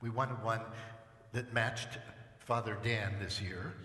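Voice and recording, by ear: A man speaks at a slow pace with a bright, sharp tone and fairly even intonation over faint background noise. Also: fairly low pitch for a man.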